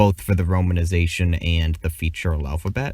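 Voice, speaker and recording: In a very clean recording with a silent background, a man speaks with a very deep, low, somewhat breathy voice. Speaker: conlang video creator. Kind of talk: scripted narration.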